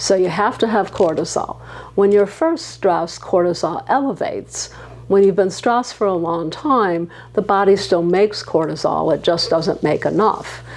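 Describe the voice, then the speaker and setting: A woman at a medium pitch talks at a moderate pace, her pitch varying in an ordinary way, with noticeable background noise. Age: 70s. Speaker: physician. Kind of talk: interview conversation.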